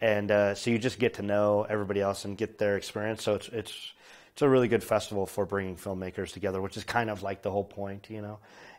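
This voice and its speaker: A man with an American accent, fairly low in pitch, very fast in pace and flat, monotone in intonation, in a very clean recording with a silent background. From US (born in Poland). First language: Polish. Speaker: film director. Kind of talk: interview. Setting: film festival. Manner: casual, with many fillers.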